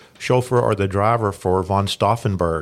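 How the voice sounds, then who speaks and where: A man with a Tennessee accent speaks at a moderate pace and a fairly low pitch. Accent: Tennessee Southern US. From Lawrence County, Tennessee. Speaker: history teacher and local historian. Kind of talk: interview. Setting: studio.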